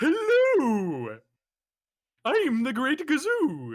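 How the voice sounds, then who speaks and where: A man puts on a character voice at an extremely high pitch for a man. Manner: cartoonish character voice.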